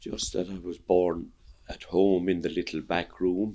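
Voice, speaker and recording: A man with an Irish accent, very deep and low in pitch, at a fairly slow pace with monotone, flat intonation. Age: 70s. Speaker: interviewee, Irish immigrant. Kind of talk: interview.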